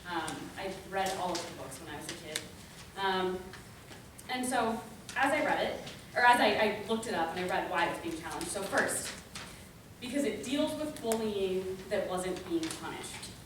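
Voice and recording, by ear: With audible room echo, a woman talks at a moderate pace in a fairly low pitch with lively intonation.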